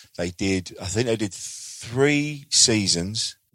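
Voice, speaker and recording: This man speaks with an English accent. The sound is dry and close, with no echo. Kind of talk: casual recommendation.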